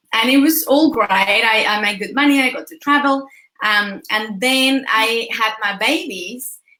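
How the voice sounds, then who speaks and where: The speaker goes at a fairly slow pace with ordinary pitch variation and big swings in loudness. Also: woman, high pitch for a woman. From Mexico. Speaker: motivational speaker and business coach. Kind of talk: interview. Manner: animated.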